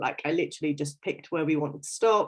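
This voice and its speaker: A woman with an English accent talks very fast, her pitch swinging very widely. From London, England. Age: 30s. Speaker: fitness coach. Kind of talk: casual livestream interview. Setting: Facebook live video.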